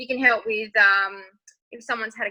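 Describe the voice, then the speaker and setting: A woman speaks in an Australian accent at a fairly quick pace. Her tone is bright and sharp. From rural Western Australia. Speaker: makeup artist and nursing student. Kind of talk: interview. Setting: podcast recording.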